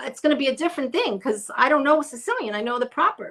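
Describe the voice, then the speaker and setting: Talking at a fairly quick pace, this woman has a New York accent. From Brooklyn, New York. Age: 60s. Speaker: interview guest. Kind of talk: casual interview chat. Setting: live stream video call. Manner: halting.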